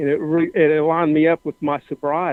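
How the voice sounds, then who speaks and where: A man with a Southern US accent talks at a moderate pace. His pitch is fairly high. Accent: Southern American. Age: 60s. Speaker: caller. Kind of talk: casual chat. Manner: halting.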